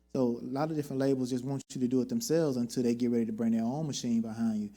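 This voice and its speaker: Very fast male voice, dark and mellow at medium pitch. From US South, Houston, Texas. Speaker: R&B singer. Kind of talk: talk show interview. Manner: animated.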